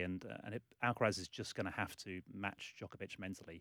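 A man talks at a moderate pace in an English accent. The recording is very clean, with a silent background. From England, London. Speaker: sports journalist. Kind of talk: casual chat. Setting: studio.

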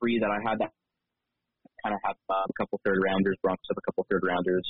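A man is speaking. Music plays in the background. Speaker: football draft analyst, intern. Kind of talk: casual chat. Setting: video call.

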